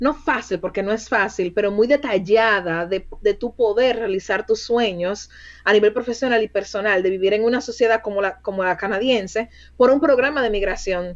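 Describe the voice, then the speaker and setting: At a moderate pace, a woman talks in a normal speaking voice pitched fairly high. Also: ordinary pitch variation. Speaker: recruiter. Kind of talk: interview.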